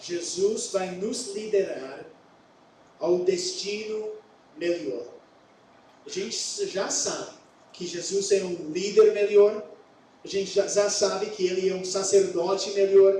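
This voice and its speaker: A man with an English accent and a high voice speaks very slowly with fairly even intonation and long, frequent pauses, with audible room echo and noticeable background noise. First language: English (speaking Portuguese). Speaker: pastor. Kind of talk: sermon. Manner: halting.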